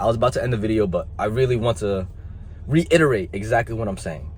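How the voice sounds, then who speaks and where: A man speaks in a passionate tone, his pitch swinging very widely. Noticeable background noise runs behind him. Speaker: motivational youtuber. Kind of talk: motivational talk to camera. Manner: emphatic, passionate; occasional stumbling.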